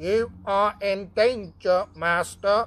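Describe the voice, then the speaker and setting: Put-on character voice, female-sounding and medium in pitch. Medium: read story. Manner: stiff, stupid, formal.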